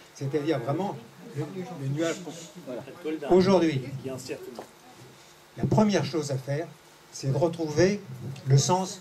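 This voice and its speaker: A man with a fairly high voice talks at a very slow pace with ordinary pitch variation. Noticeable background noise runs underneath. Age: 70s. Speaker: audience member. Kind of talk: audience comment in Q&A session. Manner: halting, with many restarts.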